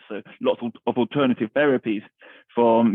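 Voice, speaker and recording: The speaker has a London accent and a fairly quick pace. The intonation is monotone and flat. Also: man. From East London. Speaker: army veteran, charity founder. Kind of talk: interview answer.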